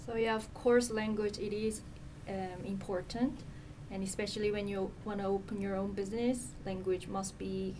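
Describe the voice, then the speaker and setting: A woman talks at a moderate pace in a medium pitch with monotone, flat intonation. The recording has noticeable background noise and audible room echo. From South Korea. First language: Korean. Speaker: nonprofit communications manager. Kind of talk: interview.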